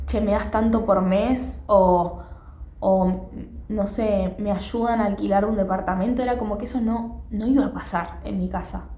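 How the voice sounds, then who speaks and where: A woman with a Rioplatense accent, plus noticeable background noise and audible room echo. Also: fairly slow pace. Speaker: podcaster. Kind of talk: casual monologue. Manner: conversational with fillers.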